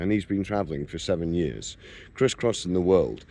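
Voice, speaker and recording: With a British accent, the voice has a dark, mellow tone. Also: man. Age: 60s. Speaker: retired travel vlogger. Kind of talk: vlog monologue. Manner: hesitant with fillers.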